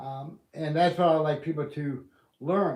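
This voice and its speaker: A man speaks at a moderate pace with a fairly high pitch and fairly even intonation. Room echo is audible. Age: 60s. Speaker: community livestreamer and student. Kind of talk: casual livestream monologue. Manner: halting, with fillers.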